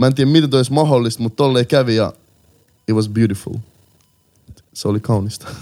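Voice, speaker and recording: Very fast speech from a man with long, frequent pauses, a dark, mellow tone, medium pitch and ordinary pitch variation. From Helsinki, Finland. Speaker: rap artist. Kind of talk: casual interview.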